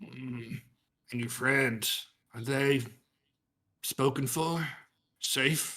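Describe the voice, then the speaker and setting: A man puts on a raspy character voice at a medium pitch, speaking very slowly with fairly even intonation and long, frequent pauses. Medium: actual play. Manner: gruff, blunt, ungrammatical.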